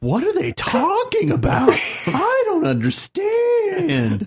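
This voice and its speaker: A breathy, put-on character voice at a very slow pace. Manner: mocking, confused.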